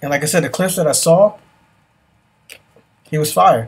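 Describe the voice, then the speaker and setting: A man speaks in a New York accent. His voice is somewhat breathy. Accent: New York City. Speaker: podcast host. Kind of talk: casual chat. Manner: animated.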